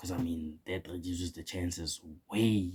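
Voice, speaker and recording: A man with a very deep, low pitch and a dark, mellow tone speaks at a moderate pace, somewhat breathy, with fairly even intonation. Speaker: opinion vlogger. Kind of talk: casual opinion monologue. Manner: casual, slangy; stuttering at times.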